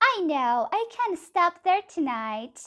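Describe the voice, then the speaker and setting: A woman's squeaky, put-on character voice, extremely high-pitched, with very wide pitch swings and a very slow pace. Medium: read story.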